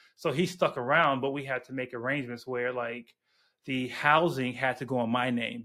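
A man speaks at a medium pitch with a bright, sharp tone. The recording is very clean, with a silent background. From Chicago, US Midwest. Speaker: software developer relations engineer. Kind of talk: casual interview.

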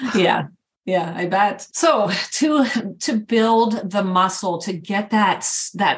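A woman of medium pitch speaks with lively intonation in a somewhat breathy voice. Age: 50s. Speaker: podcast host, fitness coach. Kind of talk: casual chat.

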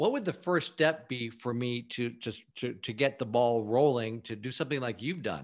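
A man's normal speaking voice of medium pitch, at a moderate pace with hardly any pauses and ordinary pitch variation, against a quiet background. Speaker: podcast host. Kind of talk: podcast interview.

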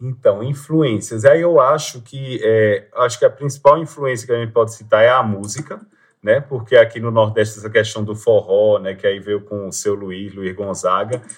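A man's medium-pitched, somewhat breathy voice at a moderate pace, with hardly any pauses and big swings in loudness. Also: ordinary pitch variation. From Pernambuco, Brazil (Agreste, Limoeiro). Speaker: public prosecutor and traveler. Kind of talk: interview. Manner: halting.

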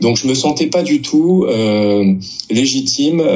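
A man talks fairly slowly in a room with audible echo and noticeable background noise. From France. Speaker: novelist and literature teacher. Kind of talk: interview. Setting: book fair. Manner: hesitant, frequent word repetitions.

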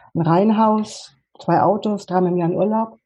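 A woman's somewhat breathy, dark, mellow tone at a fairly slow pace, with ordinary pitch variation. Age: 50s. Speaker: life coach. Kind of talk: interview. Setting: video call.

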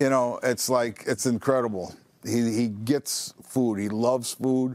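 This is an unremarkable speaking voice with an American accent. The intonation is fairly even. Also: man. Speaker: store manager. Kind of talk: casual interview.

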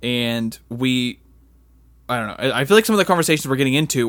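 On a very clean recording with a silent background, a man talks very fast. His pitch is medium. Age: 30s. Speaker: podcast host. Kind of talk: casual solo podcast announcement. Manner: casual, rambling, halting.

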